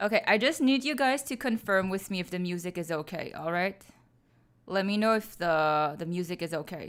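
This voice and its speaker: Over a very clean recording with a silent background, a woman in an ordinary speaking voice talks at a moderate pace and medium pitch, her intonation lively. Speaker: streamer reading stories aloud. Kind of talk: casual live-stream chat.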